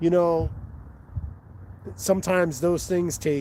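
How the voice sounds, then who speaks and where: Speaking at a fairly slow pace, a man with an American accent has a dark, mellow tone. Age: 50s. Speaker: fishing vlogger. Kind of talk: live stream commentary. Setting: outdoors on a riverbank. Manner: casual, halting with fillers.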